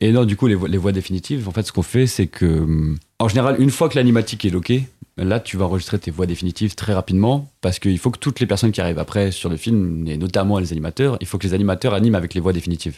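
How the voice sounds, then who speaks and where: In a very clean recording with a silent background, a man speaks at a very fast pace. His pitch is very deep and low, with ordinary variation. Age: 20s. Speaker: animation production assistant. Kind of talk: casual interview chat.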